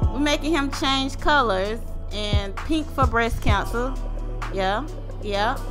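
A woman speaks in a playful tone with ordinary pitch variation. Music plays in the background. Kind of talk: casual voiceover narration of a drawing video. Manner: playful, joking.

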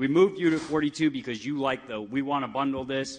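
A man talks at a very fast pace in an animated tone. His pitch varies in an ordinary way. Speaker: city councilman. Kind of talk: heated council-floor rebuke of a fellow councilman. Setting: city council chamber with live audience. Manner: animated, rapid-fire rhetorical questions; emphatic, indignant and scolding. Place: meeting room. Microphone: podium.

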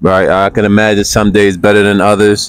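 At a fairly low pitch and moderate pace, a man speaks in an unremarkable speaking voice. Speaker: street interviewer. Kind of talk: interview questions.

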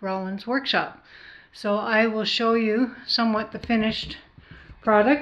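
A woman speaks at a fairly slow pace. Her tone is bright and sharp. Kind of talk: casual vlog chat. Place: home room. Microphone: phone near.

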